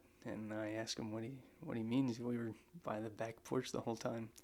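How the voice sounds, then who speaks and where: This man has an unremarkable speaking voice, medium in pitch, with fairly even intonation at a moderate pace. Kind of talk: soft-spoken ASMR scary storytelling. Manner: soft-spoken, casual, slightly awkward.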